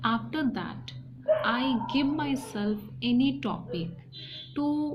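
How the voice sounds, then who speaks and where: With an Indian accent, a woman talks in a fairly high, somewhat breathy voice, and audible room echo surrounds it. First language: Hindi and a regional mother tongue. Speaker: English learning youtuber. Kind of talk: personal tutorial talk. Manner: halting, many fillers and restarts.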